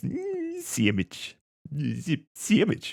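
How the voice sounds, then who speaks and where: Put-on character voice from a man, pitched extremely high. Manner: silly, dopey, exaggerated.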